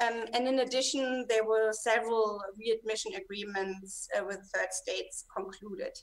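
Speaking at a moderate pace with hardly any pauses, a woman uses a fairly high voice and ordinary pitch variation. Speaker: moderator at a political foundation. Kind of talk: moderating an online panel debate. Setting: video call. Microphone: webcam.

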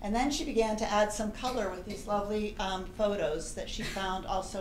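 A woman speaks with ordinary pitch variation in a room with audible echo and light background noise. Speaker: presenter. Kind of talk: formal introduction to an audience. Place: hall.

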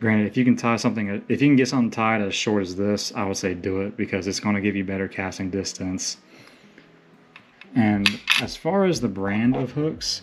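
A man speaks with a fairly low pitch and ordinary pitch variation. Light background noise is present. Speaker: surf angler. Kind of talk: casual unscripted tutorial to camera. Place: home room. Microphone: phone near.

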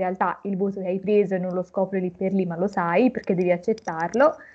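Little sound intrudes as the woman talks. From Tuscany, Florence area; Tuscany. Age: 20s. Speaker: recent university graduate; interviewee. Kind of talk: interview. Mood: calm, reflective. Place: home room. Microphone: video call.

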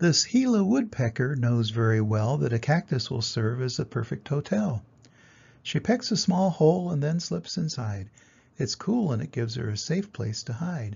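This man's voice has medium pitch, big pitch swings, vocal fry, and a slightly husky edge. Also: moderate pace.

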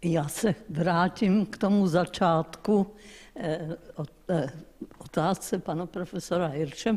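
A woman's fairly low voice at a very slow pace, with ordinary pitch variation. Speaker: lecturer, professor of medicine. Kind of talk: audience question. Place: hall.

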